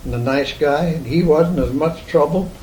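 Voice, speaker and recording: Speaking in an American accent, a man with a fairly high pitch and ordinary pitch variation talks at a moderate pace amid noticeable background noise and audible room echo. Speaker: oral history interviewee. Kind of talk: oral history interview. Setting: at home. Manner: halting.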